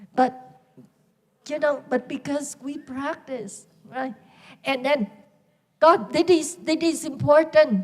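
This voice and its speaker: A woman talks with a high-pitched voice. Her pace is very slow. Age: 60s. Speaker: Buddhist nun teacher. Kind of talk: dharma talk. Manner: informal, conversational.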